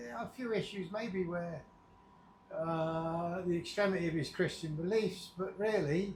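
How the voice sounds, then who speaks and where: A man's high voice with an English accent, fairly slow delivery, ordinary pitch variation and audible room echo. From England. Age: 60s. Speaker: vlogger. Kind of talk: casual vlog monologue. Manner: unscripted, meandering.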